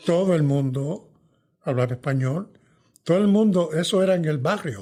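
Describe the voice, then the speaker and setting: A man's dark, mellow tone carries lively intonation at a very even loudness. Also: moderate pace. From New York, Puerto Rican family. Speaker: veteran journalist and author. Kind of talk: interview conversation.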